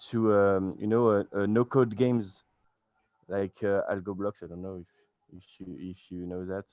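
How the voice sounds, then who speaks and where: With a French accent, a man speaks at a fairly slow pace in a very deep, low pitch. His intonation is fairly even, and the sound is dry and close with no echo. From France. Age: 20s. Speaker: beginner web developer. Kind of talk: casual chat. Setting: video call. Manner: halting.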